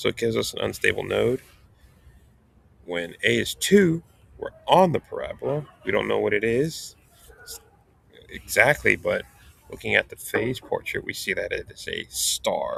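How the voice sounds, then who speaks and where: Long, frequent pauses break up a man's speech, which holds a moderate pace. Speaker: math instructor. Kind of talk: tutorial.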